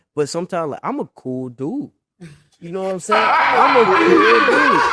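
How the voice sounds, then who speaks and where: A man in an American accent talks at a moderate pace, his loudness swinging widely. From Memphis, Tennessee (US South). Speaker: college football player. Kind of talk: casual interview.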